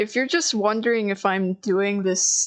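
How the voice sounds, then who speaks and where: A woman at medium pitch with fairly even intonation and a moderate pace, music in the background. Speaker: artist streamer. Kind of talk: casual chat. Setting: livestream while drawing. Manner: stuttering, halting.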